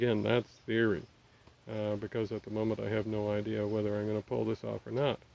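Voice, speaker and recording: Speaking at a fairly low pitch, a man keeps a monotone, flat intonation. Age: 60s. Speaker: vlogger. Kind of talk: casual talk to camera. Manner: halting.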